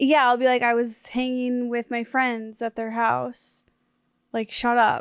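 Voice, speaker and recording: In a very clean recording with a silent background, a woman speaks at a fairly slow pace with a high pitch and a monotone, flat intonation, the sound dry and close with no echo. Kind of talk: casual podcast banter.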